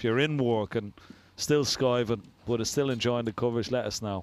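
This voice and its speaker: A man with an Irish accent talks at a medium pitch. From Ireland. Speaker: snooker commentator. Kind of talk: live commentary. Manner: casual, chatty.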